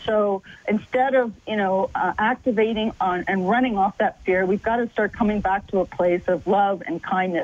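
A woman with a Canadian accent talks at a moderate pace over noticeable background noise. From Canada. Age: 50s. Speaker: filmmaker and long-distance adventurer. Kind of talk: radio interview.

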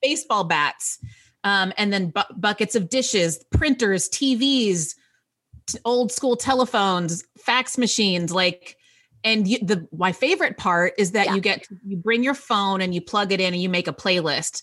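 A woman speaks with an American accent in an ordinary speaking voice. Her pitch is medium and her pace moderate. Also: ordinary pitch variation. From Texas, US South. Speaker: writer. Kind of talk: casual interview chat.

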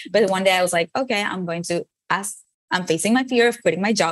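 A woman talks at a fairly quick pace with a Venezuelan accent. Her voice sits at a medium pitch with ordinary pitch variation. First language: Spanish. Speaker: motivational speaker. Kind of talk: interview.

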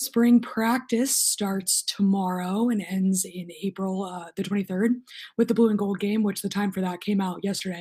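A somewhat breathy woman at a medium pitch, moderate pace and fairly even intonation. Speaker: sports journalist and show host. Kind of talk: casual chat. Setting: video call.

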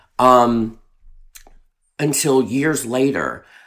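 This man speaks with a Southern US accent. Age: 30s. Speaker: drag performer. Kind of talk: casual chat.

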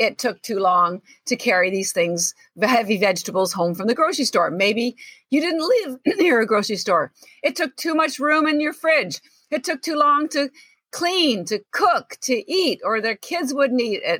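A woman with a bright, sharp tone and a high pitch talks at a moderate pace, her pitch swinging very widely over a dry, close sound with no echo. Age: 60s. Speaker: entrepreneur and health coach. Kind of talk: interview. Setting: video call. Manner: animated.

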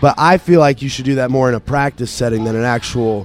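A man with an American accent and a normal speaking voice talks at a fairly quick pace, his medium pitch showing ordinary variation. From Maine, US. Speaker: metal band vocalist. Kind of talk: interview.

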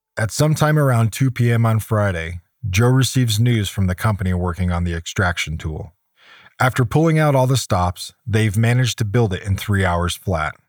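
An unremarkable speaking voice with an American accent moves at a moderate pace. The recording is very clean with a silent background and a dry, close sound with no echo. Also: man, fairly low pitch for a man. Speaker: podcast host and narrator, survival expert. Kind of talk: scripted narration.

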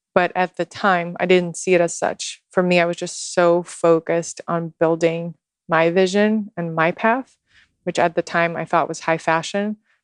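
With a quiet background and a dry, close sound free of echo, a woman with a fairly low pitch speaks at a moderate pace in a monotone, flat intonation. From Russia, Moscow. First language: Russian. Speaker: social media guide and ceremonialist. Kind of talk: casual interview chat. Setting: in person in Texas.

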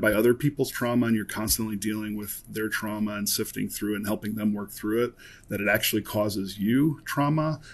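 A man talks at a fairly quick pace in a normal speaking voice. His intonation stays fairly even. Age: 40s. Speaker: former extremist turned de-radicalization worker. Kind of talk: interview.

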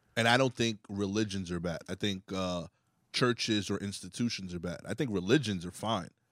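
A man's unremarkable speaking voice, fairly low in pitch, at a moderate pace with ordinary pitch variation, in a very clean recording with a silent background and a dry, close sound with no echo. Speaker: comedian. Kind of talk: casual chat.

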